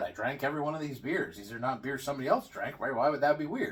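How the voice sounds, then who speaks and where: Very fast and somewhat breathy, a man runs through his words. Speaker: beer reviewer. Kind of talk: casual vlog review. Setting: at home. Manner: quiet.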